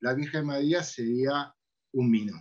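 With an Argentine accent, a man speaks at a fairly high pitch. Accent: Rioplatense Argentine Spanish. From Argentina, Buenos Aires city. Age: 50s. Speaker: podcast host. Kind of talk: casual chat.

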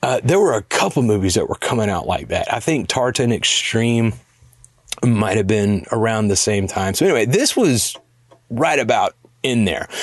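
At a moderate pace, a man with an ordinary speaking voice talks at a medium pitch with very even loudness. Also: ordinary pitch variation. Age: 40s. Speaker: podcast segment host. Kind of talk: casual chat.

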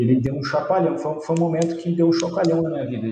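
This man's voice sits at a fairly high pitch. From Brazil, interior of São Paulo state. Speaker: environmental engineer, company founder. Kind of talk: casual interview.

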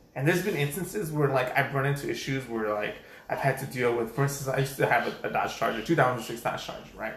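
Over noticeable background noise and audible room echo, a man with a medium-pitched voice talks at a very fast pace with ordinary pitch variation. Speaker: podcast co-host. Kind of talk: casual chat.

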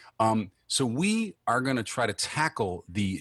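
In a very clean recording with a silent background, a man speaks with an American accent at a very slow pace. His medium-pitched voice has a bright, sharp tone and very wide pitch swings. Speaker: podcast host. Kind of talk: casual chat. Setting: home podcast studio.

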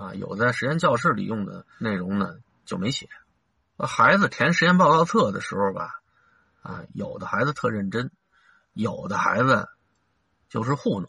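A man's bright, sharp tone with very wide pitch swings at a moderate pace. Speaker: school teacher. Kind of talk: casual monologue.

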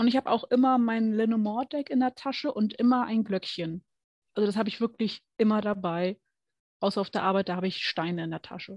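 A woman speaks at a fairly quick pace with a fairly high pitch and ordinary pitch variation. She has an unremarkable speaking voice, recorded with a dry, close sound and no echo. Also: quiet background. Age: 20s. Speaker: card reading tutor. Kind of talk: casual chat.

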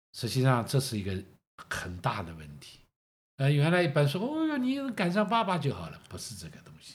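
On a very clean recording with a silent background, a man speaks at a moderate pace with big swings in loudness. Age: 60s. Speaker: host's father. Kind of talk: casual chat.

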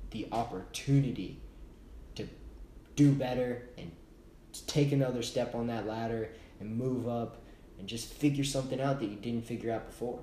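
Medium-pitched male speech in an American accent, fairly even intonation at a moderate pace, with audible room echo. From Texas, Austin. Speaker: podcast co-host. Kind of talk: casual chat.

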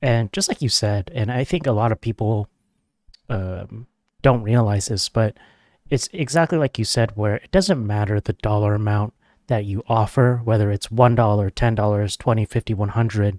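Recorded very cleanly against a silent background, with a dry, close sound and no echo, a man with an ordinary speaking voice talks at a moderate pace, fairly low in pitch, with ordinary pitch variation. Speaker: podcast host. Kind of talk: casual interview chat.

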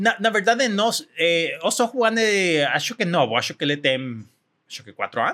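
A man with a Spanish accent uses a raised, projected voice, high in pitch and bright and sharp in tone, with very wide pitch swings, big swings in loudness, and a moderate pace. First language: Spanish (speaking Portuguese). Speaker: tech company executive. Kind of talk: interview. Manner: halting.

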